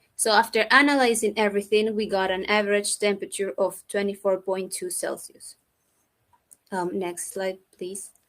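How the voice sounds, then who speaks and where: Using a normal speaking voice, a woman talks at a moderate pace in a medium pitch with fairly even intonation. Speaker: researcher. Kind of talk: conference presentation. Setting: virtual event.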